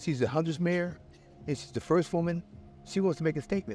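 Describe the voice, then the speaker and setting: With music in the background, a man speaks at a very fast pace in a fairly high pitch, using ordinary pitch variation. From Philadelphia, partly Missouri. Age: 60s. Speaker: interviewee, drug user. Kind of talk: street interview. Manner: repetitive, halting.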